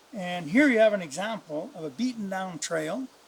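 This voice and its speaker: This man's voice is high-pitched, with lively intonation. He speaks at a moderate pace. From northern Canada. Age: 70s. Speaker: retired hunting guide. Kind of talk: outdoor tutorial. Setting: outdoors in the woods. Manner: casual, with hesitations.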